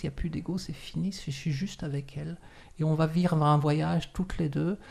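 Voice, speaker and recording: Her tone is dark and mellow, and somewhat breathy. The woman talks at a moderate pace. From France. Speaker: shibari instructor. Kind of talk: interview. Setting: studio.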